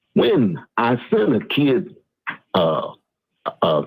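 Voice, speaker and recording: Very slowly, a man at a medium pitch speaks with vocal fry and very wide pitch swings. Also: very even loudness. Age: 60s. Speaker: youth football mentor who sent players to the pros. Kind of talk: casual chat. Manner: halting, many fillers.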